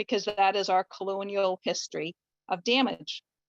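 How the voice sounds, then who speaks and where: At a moderate pace, a plain, everyday voice with a Canadian accent comes through dry and close with no echo. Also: woman. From Canada. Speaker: family doctor. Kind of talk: online discussion comment. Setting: video call.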